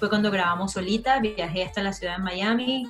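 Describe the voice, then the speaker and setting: Faint music plays behind a woman with a Venezuelan accent who speaks with fairly even intonation. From Margarita Island, Venezuela. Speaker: singer. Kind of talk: interview answer. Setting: home video call. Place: home room. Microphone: video call.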